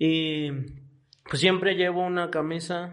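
A man with a Mexican accent speaks at a high pitch. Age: 20s. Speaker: podcast co-host. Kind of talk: casual chat.

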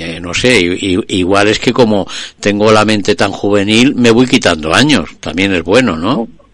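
Here is an ordinary speaking voice, fairly slow in pace, its pitch varying in an ordinary way. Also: man, fairly low pitch for a man. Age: 60s. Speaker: radio host. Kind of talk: casual chat; radio show opening.

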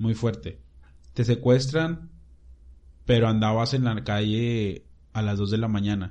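A man with a dark, mellow tone and a medium pitch talks at a fairly slow pace, leaving long, frequent pauses. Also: ordinary pitch variation. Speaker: church youth podcast host. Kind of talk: casual chat. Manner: stutters at times.

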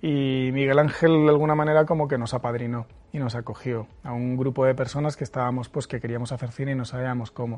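A man of medium pitch talks at a very fast pace with hardly any pauses and fairly even intonation. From Spain, Murcia. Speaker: film director. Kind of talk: interview. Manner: halting, many repeated words.

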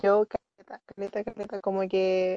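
A woman with a Chilean accent and a medium pitch speaks at a fairly slow pace, the sound dry and close with no echo. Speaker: university student. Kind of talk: casual chat.

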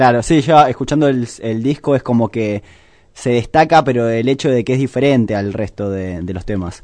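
A man speaks at a moderate pace in a normal speaking voice, with a medium pitch and ordinary pitch variation. The background is quiet. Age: 20s. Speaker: radio host. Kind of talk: radio interview.

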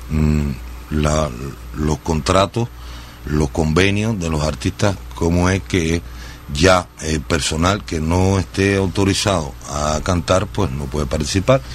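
With noticeable background noise behind him, a man speaks at a very slow pace in a very deep, low pitch with lively intonation. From Cuba, Sagua la Grande. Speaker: singer. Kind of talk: radio interview. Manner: halting, many fillers.

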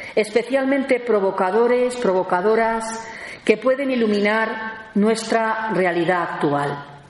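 Fairly high-pitched female speech at a fairly slow pace, with ordinary pitch variation, audible room echo and noticeable background noise. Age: 50s. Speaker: theologian and lecturer. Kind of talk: lecture.

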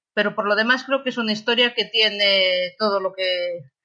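In an unremarkable speaking voice, a woman talks at a moderate pace with a medium pitch and fairly even intonation. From Galicia, Spain (Lugo). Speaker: novelist. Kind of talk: interview.

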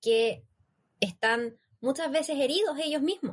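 Here a woman talks with a high pitch. The rise and fall of her voice is ordinary. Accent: Chilean. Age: 20s. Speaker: youth project team member. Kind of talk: casual panel chat on a live stream. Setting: live stream.

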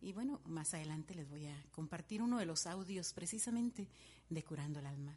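A woman's fairly low, dark, mellow, somewhat breathy voice at a fairly quick pace. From Guatemala, Guatemala City. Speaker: radio host. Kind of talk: radio show with dedications and music.

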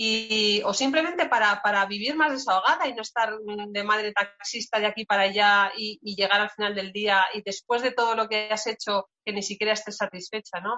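Speaking at a moderate pace with hardly any pauses, a woman uses a plain, everyday voice at a fairly high pitch with ordinary pitch variation. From Spain, Segovia. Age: 40s. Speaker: forestry engineer and entrepreneur. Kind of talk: casual interview.

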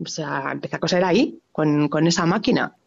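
A woman speaks in an animated tone at a moderate pace. Vocal fry runs through her voice. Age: 40s. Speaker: fabric shop owner. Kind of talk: interview.

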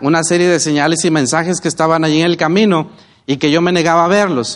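A man speaks in a Mexican accent at a high pitch. His pace is fairly quick. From Mexico, Oaxaca. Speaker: network marketing business leader. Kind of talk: motivational talk.

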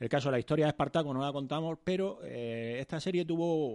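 Fairly high in pitch, a man speaks at a fairly quick pace with lively intonation and a dark, mellow tone. The background is quiet. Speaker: podcast co-host. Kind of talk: casual chat.

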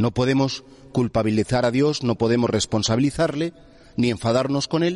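The voice is an ordinary speaking voice at a moderate pace, with ordinary pitch variation. Its loudness stays very even, and the sound is dry and close with no echo. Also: man, medium pitch for a man. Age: 50s. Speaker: priest. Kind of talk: sermon.

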